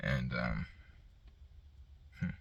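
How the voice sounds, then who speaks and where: The speaker is a man. His voice has vocal fry. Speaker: mental health vlogger. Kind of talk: casual monologue. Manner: stutters, halting.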